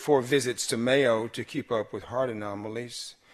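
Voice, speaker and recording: Over a quiet background, a man in an American accent speaks at a moderate pace. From Mississippi, USA. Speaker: novelist. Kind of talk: author reading from own fiction. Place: stage. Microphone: podium.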